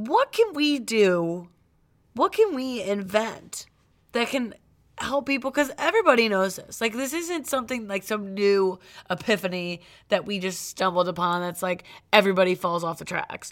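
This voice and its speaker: A woman with a plain, everyday voice in an American accent, medium pitch, lively intonation and a moderate pace, in a very clean recording with a silent background. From Cleveland, US Midwest. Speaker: podcast co-host. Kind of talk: casual chat.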